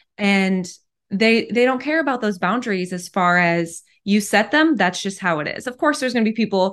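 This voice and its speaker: A woman's ordinary speaking voice at medium pitch, fairly quick pace, against a quiet background. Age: 30s. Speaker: podcast host. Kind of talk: interview.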